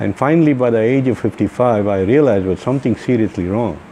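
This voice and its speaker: Noticeable background noise sits beneath a voice with ordinary pitch variation. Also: man. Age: 60s. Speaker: dental patient. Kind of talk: testimony. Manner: halting.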